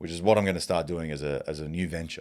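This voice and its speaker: Talking at a very fast pace, a man with a very deep, low pitch keeps an animated tone. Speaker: podcast host. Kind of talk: casual monologue.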